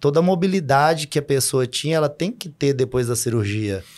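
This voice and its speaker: A man with a plain, everyday voice, a fairly high pitch, ordinary pitch variation and a moderate pace. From Brazil, Minas Gerais (Sete Lagoas). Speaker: fitness coach and football referee. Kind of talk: casual interview chat.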